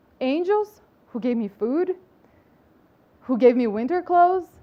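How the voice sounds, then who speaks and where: Noticeable background noise sits behind a woman's high voice. She speaks fairly slowly with very wide pitch swings. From Brazil, outskirts of São Paulo. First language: Portuguese. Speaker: public health professional and speaker. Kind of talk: inspirational talk.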